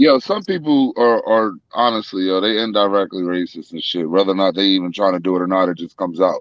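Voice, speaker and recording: A man talks at a very fast pace with hardly any pauses. His voice sits fairly low and shows ordinary pitch variation. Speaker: podcast co-host. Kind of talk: casual chat. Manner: stammering repetitions.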